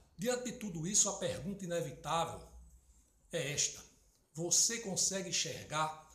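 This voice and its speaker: With audible room echo and noticeable background noise around him, this man talks fairly slowly. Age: 60s. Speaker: political commentator. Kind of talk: political opinion monologue.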